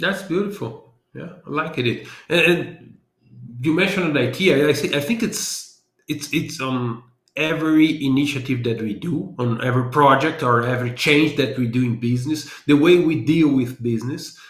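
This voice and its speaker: A man speaks with a Brazilian accent and a fairly high pitch. His voice is somewhat breathy, and audible room echo surrounds it. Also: ordinary pitch variation, moderate pace. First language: Portuguese. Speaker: business analysis consultant and trainer. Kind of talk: interview.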